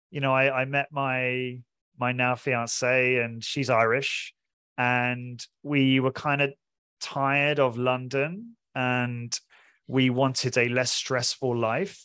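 Very slowly, the speaker talks in a southern English accent. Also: man. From southern England (Portsmouth). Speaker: fitness studio owner and podcaster. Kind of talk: interview.

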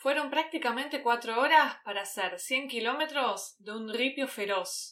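In a Rioplatense accent, a woman speaks at a high pitch with lively intonation and a bright, sharp tone. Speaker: Spanish teacher, podcast host. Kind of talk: interview; scripted narration for learners.

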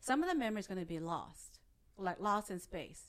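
Lively intonation in a Vietnamese accent. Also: woman. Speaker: hypnotist. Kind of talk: interview conversation.

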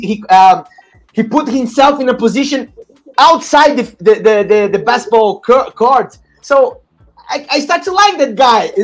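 Over background music, a man with a Portuguese accent talks at a moderate pace with lively intonation. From Brazil. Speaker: podcast host. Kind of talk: casual interview chat. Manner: halting.

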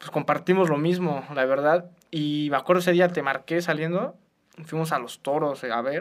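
An ordinary speaking voice moves at a moderate pace. Its intonation stays fairly even. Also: man, fairly high pitch for a man. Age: 20s. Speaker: law student, youth charity co-president. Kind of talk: casual chat.

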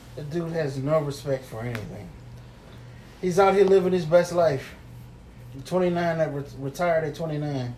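A man with an American accent speaks at a moderate pace and a fairly high pitch, with ordinary pitch variation. His loudness swings widely, and he takes long, frequent pauses. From New York. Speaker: podcast co-host. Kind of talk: casual chat.

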